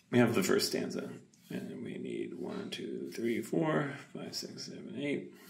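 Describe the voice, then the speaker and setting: Amid noticeable background noise, a man speaks in a calm tone. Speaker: poet. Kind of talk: ASMR talking, poetry writing. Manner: calm, reflective.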